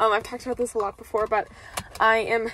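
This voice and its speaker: A woman is heard in a dry sound with no echo, against light background noise. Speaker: university student vlogger. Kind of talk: casual vlog chat. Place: car. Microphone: phone near.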